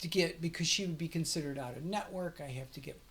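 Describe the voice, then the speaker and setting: A somewhat breathy woman's voice, fairly low in pitch, with ordinary pitch variation. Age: 60s. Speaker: vlogger documenting her gender transition. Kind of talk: casual vlog monologue. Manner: halting, repetitive fillers; animated.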